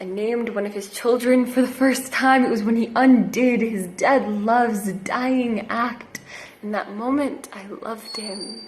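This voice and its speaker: A woman's fairly high voice at a fairly slow pace, with big swings in loudness and noticeable background noise. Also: fairly even intonation. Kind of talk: slam poetry performance.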